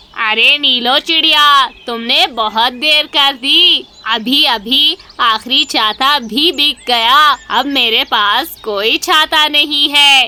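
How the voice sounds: This is a cartoonish character voice that sounds female. It is high-pitched and very slow.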